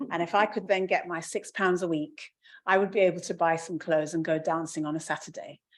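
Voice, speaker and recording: Speech comes at a very fast pace with fairly even intonation over a quiet background. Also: woman, fairly low pitch for a woman. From London (Hackney) and Nigeria. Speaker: professor, panelist. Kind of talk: panel discussion.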